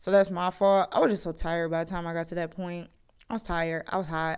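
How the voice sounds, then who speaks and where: A woman with a fairly low voice speaks very fast in a flat monotone, on a very clean recording with a silent background. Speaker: beauty vlogger. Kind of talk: casual voiceover narration of tutorial. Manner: chatty, self-deprecating.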